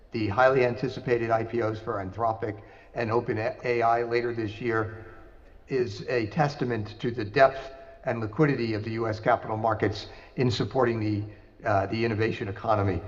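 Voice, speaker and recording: Audible room echo around a man talking at a fairly quick pace. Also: medium pitch for a man, fairly even intonation. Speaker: investment banker, conference speaker. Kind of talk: conference presentation.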